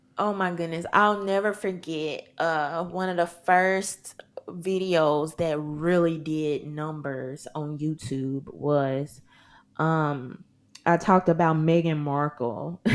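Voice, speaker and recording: In a Southern US accent, a woman speaks at a very slow pace with a very deep, low pitch and ordinary pitch variation, on a very clean recording with a silent background. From US South, Mississippi. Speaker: content creator and gun rights advocate. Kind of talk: podcast interview. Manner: animated.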